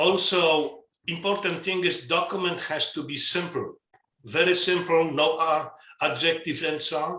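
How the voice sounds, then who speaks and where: Someone with a non-native accent speaks at a moderate pace in a bright, sharp tone with fairly even intonation. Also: man, high pitch for a man. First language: not English. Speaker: asset management standards expert. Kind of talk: webinar interview. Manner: halting with repetitions.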